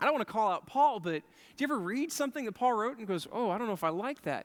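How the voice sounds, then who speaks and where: A man speaks loudly in an animated tone, his pitch swinging very widely. The sound is dry and close, with no echo. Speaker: pastor. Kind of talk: sermon.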